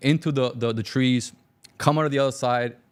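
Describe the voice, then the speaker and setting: Very fast and with fairly even intonation, a man with a Cuban-American accent speaks at a medium pitch. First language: Spanish. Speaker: business owner. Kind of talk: interview storytelling.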